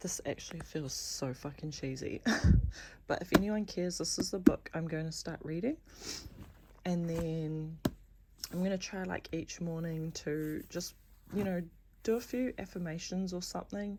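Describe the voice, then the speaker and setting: A quiet, somewhat breathy woman's voice with a dark, mellow tone, moderate pace, ordinary pitch variation and long, frequent pauses. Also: fairly low pitch for a woman. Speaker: vlogger. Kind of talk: personal vlog.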